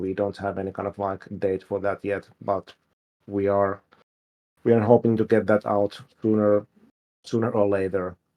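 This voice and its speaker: The pace is moderate. The speaker has a Finnish accent. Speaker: game developer. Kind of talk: livestream Q&A. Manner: hesitant, many fillers.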